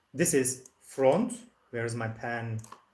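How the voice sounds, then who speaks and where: A man is speaking. His voice is somewhat breathy. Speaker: English teacher. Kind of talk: online language lesson.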